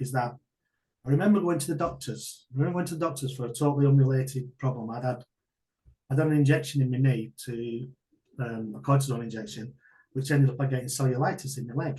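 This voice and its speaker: Somewhat breathy and dark, mellow in tone, a man with a northern English accent speaks at a very fast pace in a medium pitch with ordinary pitch variation. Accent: northern English (Greater Manchester). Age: 60s. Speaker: martial arts coach and business owner. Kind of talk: interview testimony. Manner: halting.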